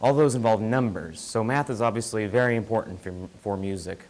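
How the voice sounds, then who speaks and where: With an American accent, a man speaks at medium pitch and a moderate pace, using ordinary pitch variation. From US Midwest (Joplin, Missouri). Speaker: student presenter. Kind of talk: student seminar presentation. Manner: soft-spoken.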